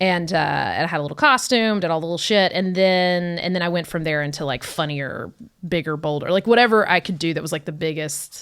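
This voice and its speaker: A woman with an American accent speaks in a normal speaking voice at a fairly low pitch, with ordinary pitch variation and a fairly quick pace. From Georgia, US South. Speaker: comedian. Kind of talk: casual chat.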